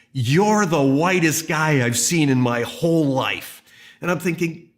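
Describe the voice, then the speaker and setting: Audible room echo surrounds a man with a fairly high pitch. His intonation is lively and his pace fairly slow. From Canada. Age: 60s. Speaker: pastor. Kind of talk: sermon. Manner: conversational.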